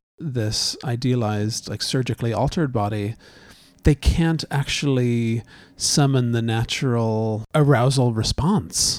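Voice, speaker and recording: A man with an unremarkable speaking voice talks at a fairly slow pace. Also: medium pitch for a man, ordinary pitch variation. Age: 40s. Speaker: podcast co-host, husband. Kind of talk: casual conversation. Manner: joking, playful.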